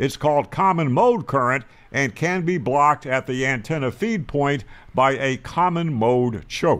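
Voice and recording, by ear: A man talks at a fairly slow pace with a medium pitch. His tone is fairly bright, with ordinary pitch variation.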